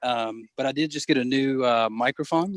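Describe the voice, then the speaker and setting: At a fairly high pitch, a man speaks with an American accent. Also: dry, close sound with no echo. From South Carolina. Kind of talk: casual chat.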